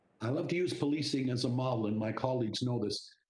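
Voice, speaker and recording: A man speaks at medium pitch and a fairly quick pace, with audible room echo. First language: Italian. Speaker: regional council chair. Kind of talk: committee meeting remarks. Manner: animated.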